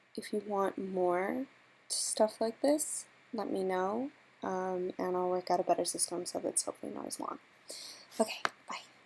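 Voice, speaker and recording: A woman mumbling at a moderate pace, medium in pitch with ordinary pitch variation, with long, frequent pauses. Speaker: artist. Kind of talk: tutorial. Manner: hesitant, many fillers.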